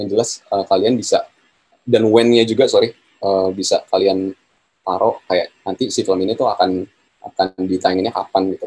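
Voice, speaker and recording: A man speaks at a moderate pace and a fairly low pitch in a dark, mellow tone, his intonation monotone and flat. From Indonesia. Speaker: photographer and workshop speaker; speaker. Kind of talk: online workshop lecture. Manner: hesitant, many fillers. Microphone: video call.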